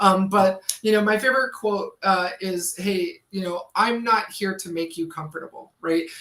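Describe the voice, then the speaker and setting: A woman with a medium-pitched voice speaks at a moderate pace with hardly any pauses, in an ordinary speaking voice with ordinary pitch variation. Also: big swings in loudness. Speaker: cybersecurity instructor and livestream host. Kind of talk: live-streamed tutorial with chat. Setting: livestream. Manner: casual, many filler words.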